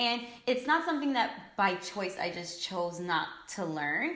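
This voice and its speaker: A woman with an American accent speaks at a medium pitch. Audible room echo and noticeable background noise are present. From New York, US. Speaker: beauty influencer. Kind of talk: casual chat.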